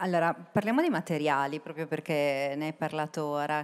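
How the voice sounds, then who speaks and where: At a moderate pace, a woman speaks with a very deep, low pitch and ordinary pitch variation. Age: 40s. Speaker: panel moderator. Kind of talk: panel moderation. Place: stage. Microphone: handheld.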